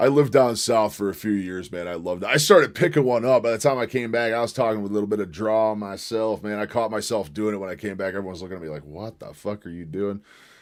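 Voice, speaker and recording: A man talks at a very fast pace with hardly any pauses and big swings in loudness. His voice is fairly low, with ordinary pitch variation. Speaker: livestreamer. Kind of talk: casual livestream chat. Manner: stumbles over words.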